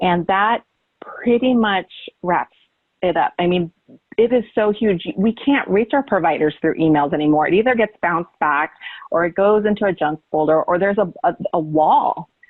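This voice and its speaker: A plain, everyday voice from a woman with an American accent, at a medium pitch and moderate pace, with lively intonation and very even loudness. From California. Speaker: conference presenter on social media. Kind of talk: conference presentation.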